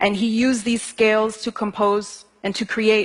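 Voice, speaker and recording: Her voice is somewhat breathy and fairly high in pitch. The woman talks at a moderate pace. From United States, Ethiopian family. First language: Amharic. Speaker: singer-songwriter. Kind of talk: talk to an audience.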